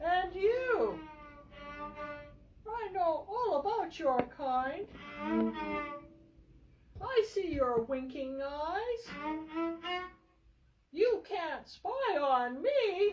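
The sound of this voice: A female-sounding, put-on character voice sits at an extremely high pitch, moving at a very slow pace. Long, frequent pauses break the speech, with music in the background.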